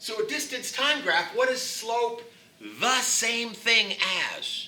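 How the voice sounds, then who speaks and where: A man speaks at a very slow pace in a raised, projected voice with an extremely high pitch, with audible room echo and noticeable background noise. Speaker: physics teacher. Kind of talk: classroom lecture. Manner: loud.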